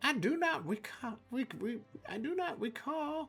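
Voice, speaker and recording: A put-on character voice speaks at a fairly high pitch and a moderate pace. Faint music plays in the background. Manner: muttering, hesitant.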